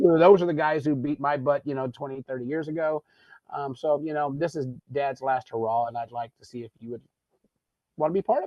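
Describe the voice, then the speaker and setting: In a normal speaking voice, someone talks at a fairly quick pace with ordinary pitch variation and big swings in loudness. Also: man, fairly high pitch for a man. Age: 60s. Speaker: golf show host. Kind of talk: casual chat. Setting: studio.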